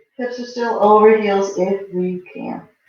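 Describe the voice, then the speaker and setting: There is audible room echo as a woman speaks at a fairly high pitch with fairly even intonation. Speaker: yoga teacher. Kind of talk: guided yoga class. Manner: calm, instructive.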